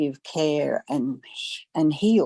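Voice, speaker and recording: Here is a woman with an Australian accent. Her tone is dark and mellow. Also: dry, close sound with no echo, very clean recording, silent background. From Australia, Gold Coast. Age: 70s. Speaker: massage therapist. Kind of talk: interview testimony. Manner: hesitant, many fillers.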